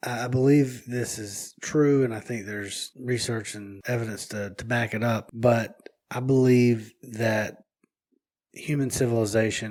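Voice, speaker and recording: A man in a rural Southern US accent, medium in pitch, with fairly even intonation at a fairly slow pace. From US South. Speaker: podcast co-host. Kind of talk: casual chat. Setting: home office. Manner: mumbling. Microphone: echoey room.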